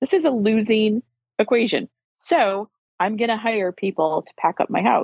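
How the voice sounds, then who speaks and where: A woman's fairly high, plain, everyday voice at a moderate pace, with ordinary pitch variation and big swings in loudness. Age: 50s. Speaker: lawyer and law firm owner. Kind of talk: casual interview chat.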